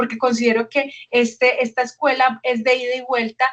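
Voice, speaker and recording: A woman with an ordinary speaking voice talks at a fairly quick pace in a fairly high pitch. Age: 40s. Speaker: educational program coordinator. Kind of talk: webinar presentation.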